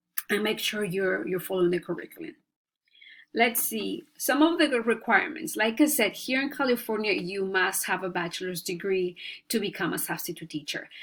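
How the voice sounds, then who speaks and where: A woman speaks with a Spanish accent. Her pitch swings very widely. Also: medium pitch for a woman, moderate pace, very clean recording, silent background. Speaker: student, stay-at-home mom. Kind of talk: class presentation. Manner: halting, many fillers.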